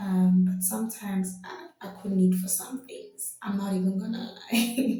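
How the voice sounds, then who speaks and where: A woman at medium pitch speaks at a fairly slow pace with hardly any pauses. Her loudness swings widely. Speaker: vlogger. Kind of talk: casual vlog monologue. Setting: home video, pretend mic. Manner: loud, bubbly.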